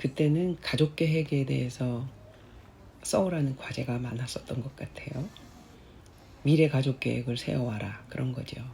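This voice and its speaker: A woman with a very deep, low pitch speaks in a dark, mellow tone that is somewhat breathy. Her pitch varies in an ordinary way, and she leaves long, frequent pauses. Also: moderate pace. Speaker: cancer survivor. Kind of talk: personal essay narration.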